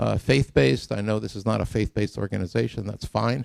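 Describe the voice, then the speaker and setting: A man's fairly low voice with vocal fry and a dark, mellow tone at a fairly quick pace, dry and close with no echo on a very clean recording with a silent background. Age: 70s. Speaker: scientist giving a public talk. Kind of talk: lecture. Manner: halting.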